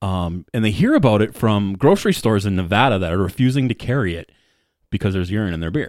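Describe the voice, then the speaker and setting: Speaking very fast with ordinary pitch variation, a man with a fairly low pitch is heard on a very clean recording with a silent background. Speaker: podcast host. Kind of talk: casual chat. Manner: loud.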